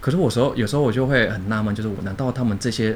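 A man's voice carries audible room echo. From Indonesia (Jakarta), Chinese-Indonesian; later Penang, Malaysia. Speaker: designer and translator. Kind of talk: casual chat.

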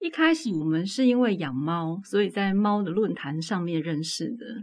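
At a moderate pace, a woman with a medium pitch speaks using lively intonation. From Taiwan, Tainan. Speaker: author. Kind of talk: casual interview. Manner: clear, standard enunciation.

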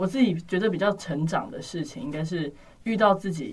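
Intonation is lively as the somewhat breathy voice keeps a moderate pace. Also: woman. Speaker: university student. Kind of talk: casual chat.

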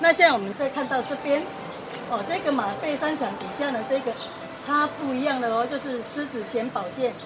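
Amid noticeable background noise and audible room echo, a woman with a Taiwanese accent speaks at a high pitch. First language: Taiwanese Hokkien (speaking Chinese). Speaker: heritage site guide. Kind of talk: guided tour explanation.

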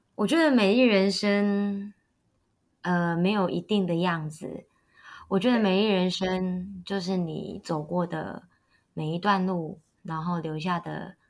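The speech comes at a very slow pace with fairly even intonation, on a very clean recording with a silent background. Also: woman, medium pitch for a woman. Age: young. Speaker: wedding emcee and local election candidate. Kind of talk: interview.

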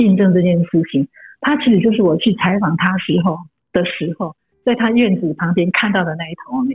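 A woman talks at a fairly quick pace with medium pitch and ordinary pitch variation. She has a plain, everyday voice. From Taiwan, rural Hakka village. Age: 50s. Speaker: author and columnist. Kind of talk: casual interview.

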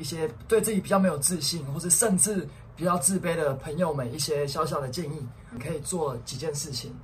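With a Taiwanese accent, a man talks at a fairly quick pace and a fairly high pitch, his pitch varying in an ordinary way, amid audible room echo. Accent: Taiwanese Mandarin. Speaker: podcast co-host. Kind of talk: casual chat.

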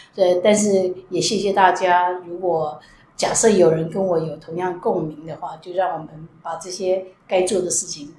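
A woman speaks at a fairly slow pace and fairly low pitch in a monotone, flat intonation, her loudness swinging a lot, with noticeable background noise and audible room echo. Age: 60s. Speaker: retired national health insurance official. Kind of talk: interview.

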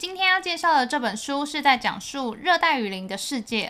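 A high-pitched woman with a Mandarin accent and very wide pitch swings. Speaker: podcast co-host. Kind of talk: bilingual casual chat for learners. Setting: studio.

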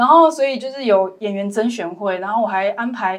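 A woman has an ordinary speaking voice, fairly high in pitch with ordinary variation. She talks at a fairly quick pace on a very clean recording with a silent background. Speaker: documentary filmmaker. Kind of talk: casual interview chat.

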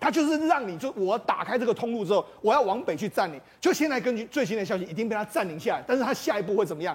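At a very fast pace, a high-pitched man speaks with very wide pitch swings. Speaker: political commentator. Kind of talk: TV talk show panel discussion. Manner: animated.

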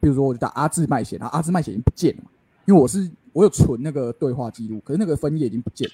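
Lively intonation marks this man's fairly high, somewhat breathy voice, which has a dark, mellow tone. He talks at a very fast pace, with a dry, close sound and no echo. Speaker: podcast co-host. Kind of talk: casual chat.

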